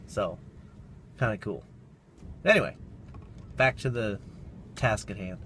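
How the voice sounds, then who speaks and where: Vocal fry runs through speech at a moderate pace, with a dry, echo-free sound and light background noise. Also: man. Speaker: vlogger. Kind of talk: casual vlog chat. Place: car. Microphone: phone near.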